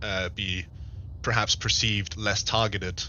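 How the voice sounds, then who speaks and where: A man with a non-native accent speaks at a fairly low pitch with fairly even intonation. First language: not English. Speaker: gaming streamer in roleplay. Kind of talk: roleplay diplomatic meeting. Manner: halting.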